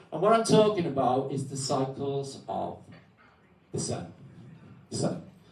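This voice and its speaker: A man with a fairly high pitch talks at a fairly slow pace with long, frequent pauses, very wide pitch swings and big swings in loudness. Noticeable background noise and audible room echo fill the recording. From Wales. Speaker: guest speaker on alternative history. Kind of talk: talk to an audience. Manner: loud, projecting voice.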